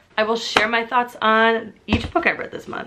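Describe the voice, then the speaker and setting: Amid noticeable background noise, a woman talks in a high pitch. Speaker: book reviewer. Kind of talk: casual chat. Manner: casual, filler-heavy.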